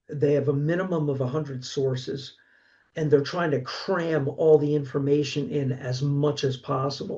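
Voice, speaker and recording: A Philadelphia accent with fairly even intonation. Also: man, moderate pace. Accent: Philadelphia-area American. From Pennsylvania, Delaware County. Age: 60s. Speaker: horror author and college instructor. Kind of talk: casual interview. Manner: halting, frequent self-repeats.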